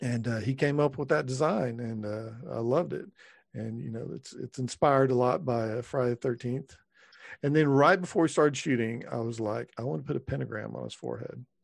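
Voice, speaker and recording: At a fairly quick pace, a man with a Texan accent speaks with ordinary pitch variation. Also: medium pitch for a man. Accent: Texan American. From Texas. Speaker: screenwriter and filmmaker. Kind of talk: casual interview.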